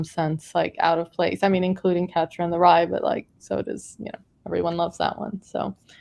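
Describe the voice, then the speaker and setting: This woman speaks with an American accent. Her pitch is fairly low, with ordinary variation. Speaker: author. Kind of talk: panel discussion. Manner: halting.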